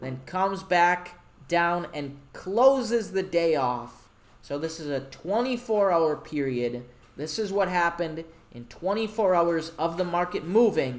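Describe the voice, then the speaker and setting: With lively intonation and a high pitch, a man speaks at a fairly slow pace. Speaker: forex trading instructor. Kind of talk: tutorial. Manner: casual.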